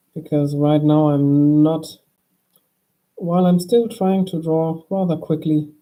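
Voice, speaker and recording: The soft-spoken voice moves at a fairly slow pace with a calm tone and long, frequent pauses. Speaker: drawing streamer. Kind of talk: drawing tutorial chat. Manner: calm, soft-spoken.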